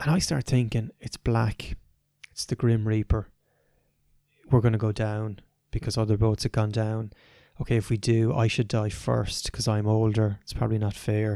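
A man with an Irish accent, fairly low in pitch and dark and mellow in tone, at a moderate pace with long, frequent pauses and monotone, flat intonation, on a very clean, dry, close recording with a silent background and no echo. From Ireland. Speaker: adventurer and performance coach. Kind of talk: interview conversation.

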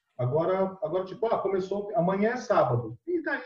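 Very wide pitch swings in a man's high voice. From Brazil, São Vicente (São Paulo coast). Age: 30s. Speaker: Spanish teacher. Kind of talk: casual chat.

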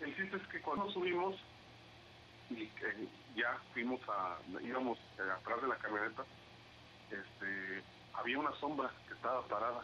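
Amid noticeable background noise, a man at a medium pitch speaks at a moderate pace with very wide pitch swings and long, frequent pauses. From Mexico, Veracruz (Xalapa). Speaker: aspiring podcaster. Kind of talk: casual chat. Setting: call.

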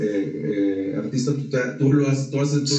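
A man's fairly high-pitched voice carries through audible room echo, with noticeable background noise behind it. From Mexico. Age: 40s. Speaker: entrepreneur and leadership speaker. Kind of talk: casual interview. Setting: studio.

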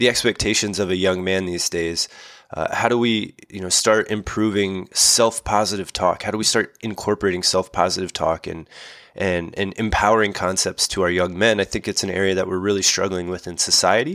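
An unremarkable speaking voice belongs to a man with fairly low pitch, fairly even intonation and a fairly quick pace. The recording is very clean, with a silent background. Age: 30s. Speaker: physical therapist. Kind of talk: podcast interview.

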